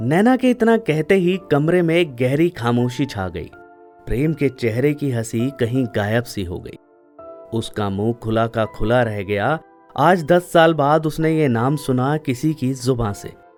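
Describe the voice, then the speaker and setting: Music plays in the background as a man talks at a medium pitch. His intonation is lively. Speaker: storyteller, former radio jockey. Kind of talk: emotional love story narration.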